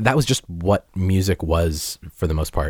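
A man with an American accent speaks in a very deep, low, somewhat breathy voice. The recording is very clean, with a silent background. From Massachusetts (Peabody), US. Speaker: musician and podcast host. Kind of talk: interview.

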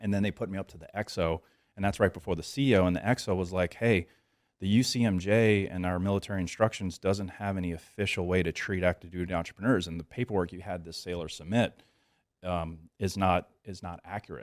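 On a very clean recording with a silent background and a dry, close sound with no echo, a man with an American accent talks at a very fast pace with a very deep, low pitch, fairly even intonation and big swings in loudness. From US South, New Orleans area, Louisiana. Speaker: entrepreneur and business coach, Navy veteran. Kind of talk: casual interview. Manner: casual, filler-heavy.

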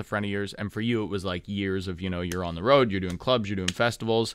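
A man talks at a very fast pace. His tone is animated. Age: 30s. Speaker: radio host. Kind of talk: casual radio chat. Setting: studio. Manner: animated, jokey.

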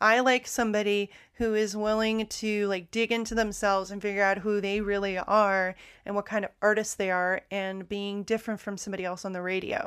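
On a very clean recording with a silent background, a woman with an American accent speaks at a fairly quick pace and a medium pitch. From United States. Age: young. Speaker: podcast host. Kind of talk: casual monologue. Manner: animated.

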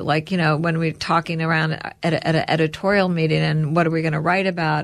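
A woman speaks fairly quickly in a normal speaking voice, pitched fairly low. The recording is very clean, with a silent background. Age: 60s. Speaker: entrepreneur, company co-founder. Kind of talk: interview.

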